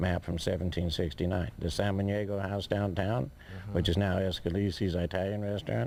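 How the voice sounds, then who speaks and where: Using an unremarkable speaking voice, a man with a fairly low pitch talks at a fairly quick pace. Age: 60s. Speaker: amateur historian and landowner. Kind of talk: interview answer. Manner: rambling, casual.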